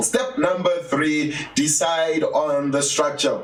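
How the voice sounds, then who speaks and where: There is noticeable background noise. Over it, a man talks at a fairly high pitch. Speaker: business and publishing coach. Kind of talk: coaching talk. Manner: animated.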